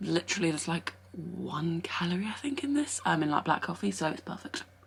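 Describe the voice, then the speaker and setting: Against noticeable background noise, a woman with an English accent talks at a fairly quick pace, with a fairly low pitch and very wide pitch swings. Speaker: fitness vlogger and online coach. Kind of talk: casual vlog. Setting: at home. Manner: whispering.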